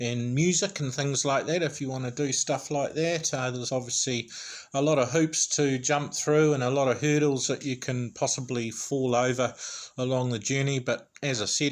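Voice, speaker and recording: A man with a New Zealand accent speaks at a moderate pace. His medium pitch follows a fairly even intonation. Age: 40s. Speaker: YouTuber. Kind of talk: vlog monologue. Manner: chatty.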